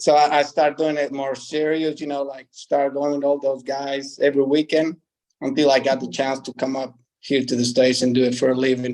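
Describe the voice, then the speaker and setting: A man with a Spanish accent speaks at a fairly quick pace in a fairly high pitch. His intonation stays monotone and flat. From Mexico, ranch in small town. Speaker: professional bull rider. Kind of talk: interview. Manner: hesitant, many fillers.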